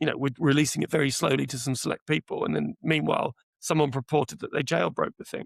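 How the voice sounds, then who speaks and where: A man with a British accent is heard in a dry, close recording with no echo. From UK. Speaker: AI product executive. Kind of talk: podcast interview.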